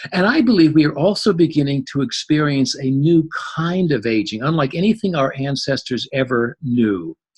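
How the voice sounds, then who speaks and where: With lively intonation and a somewhat breathy voice, a man speaks at a fairly high pitch and a moderate pace. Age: 70s. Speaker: psychologist and interfaith minister. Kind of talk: presentation talk. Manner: animated.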